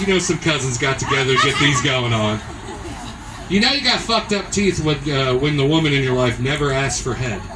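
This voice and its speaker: Over noticeable background noise and audible room echo, a man with an American accent speaks at a fairly quick pace, his fairly high pitch carrying lively intonation at very even loudness. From Southern Illinois. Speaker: stand-up comedian. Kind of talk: stand-up. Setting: stage with audience in restaurant.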